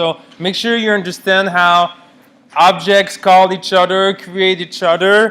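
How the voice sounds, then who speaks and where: A man is shouting, loud and high-pitched. His intonation stays monotone and flat. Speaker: university lecturer (grad student). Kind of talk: lecture. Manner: loud, yelling.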